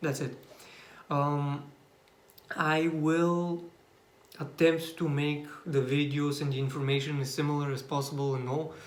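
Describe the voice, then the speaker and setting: With a Bulgarian accent, a man speaks in a fairly high, monotone, flat voice at a fairly slow pace amid audible room echo. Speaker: YouTuber. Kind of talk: personal vlog monologue. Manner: halting, many fillers and restarts.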